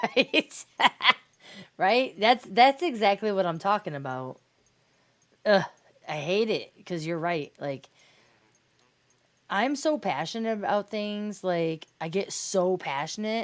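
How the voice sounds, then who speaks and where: With very wide pitch swings and a medium pitch, a woman speaks at a very slow pace, leaving long, frequent pauses. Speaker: video game streamer. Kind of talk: casual chat. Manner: loud when passionate; halting.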